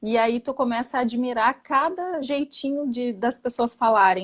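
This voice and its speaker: In a strong gaúcho accent, a woman speaks at a moderate pace and a high pitch, recorded with a dry, close sound and no echo. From Porto Alegre, southern Brazil. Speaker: architect, therapy patient. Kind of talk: casual chat.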